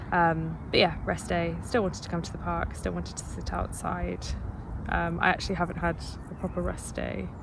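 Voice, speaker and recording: A woman speaks at a fairly quick pace, with audible room echo around her. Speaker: PhD student vlogger. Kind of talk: casual vlog monologue. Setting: outdoors in a park. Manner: hesitant, many fillers; quiet.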